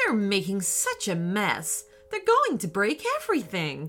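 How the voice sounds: In a put-on character voice with a fairly bright tone, the speaker goes fairly slowly with very wide pitch swings while faint music plays behind. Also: woman, medium pitch for a woman.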